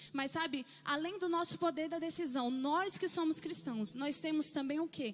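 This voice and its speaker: A soft-spoken woman talks at a moderate pace. Her intonation is lively. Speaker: pastor. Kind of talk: sermon. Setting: church. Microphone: mic too quiet.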